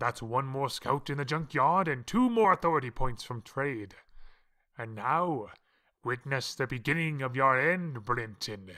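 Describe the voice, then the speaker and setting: In a put-on character voice of medium pitch, a man talks at a moderate pace on a very clean recording with a silent background. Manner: theatrical, gloating.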